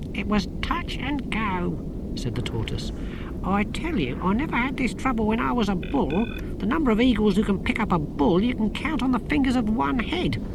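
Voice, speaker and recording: Someone talks at a moderate pace in a put-on character voice over loud background noise. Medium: read story. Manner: sarcastic, commanding.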